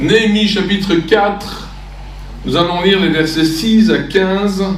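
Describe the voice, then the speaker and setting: A man with a high pitch is heard amid noticeable background noise and audible room echo. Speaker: itinerant preacher and theology teacher. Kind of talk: sermon. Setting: church. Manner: halting, with many fillers.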